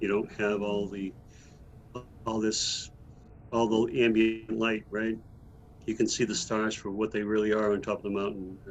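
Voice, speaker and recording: Long, frequent pauses break up a man's monotone, flat delivery, given at a moderate pace and fairly low pitch. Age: 60s. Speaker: energy healer and author. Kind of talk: podcast interview. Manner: halting, with many repeated words.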